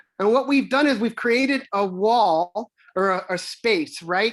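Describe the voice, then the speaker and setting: Lively intonation from a woman in a very clean recording with a silent background. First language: Spanish. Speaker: parent representative on school district council. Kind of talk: community meeting facilitation. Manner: halting, many fillers and repetitions.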